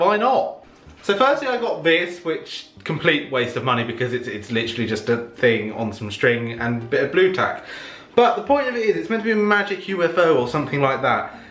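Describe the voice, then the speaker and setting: Fairly quick speech from a man, with very wide pitch swings and audible room echo. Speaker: vlogger. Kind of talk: casual vlog chat. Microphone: camera far.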